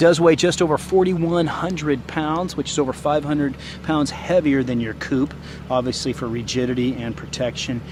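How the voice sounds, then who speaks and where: A man speaks with a fairly high pitch. Noticeable background noise is present. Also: ordinary pitch variation. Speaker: car salesperson. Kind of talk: product walkaround. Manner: fast.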